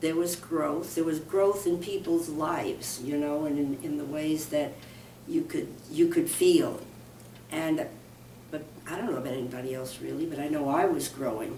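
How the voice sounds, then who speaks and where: A woman with an American accent and a very deep, low pitch, ordinary pitch variation, a moderate pace, audible room echo and noticeable background noise. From New York. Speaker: minister. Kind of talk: interview.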